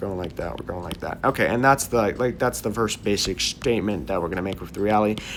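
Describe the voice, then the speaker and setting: Amid noticeable background noise, a man with a fairly low pitch speaks very fast with ordinary pitch variation. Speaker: DIY hobby YouTuber. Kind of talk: casual build vlog monologue.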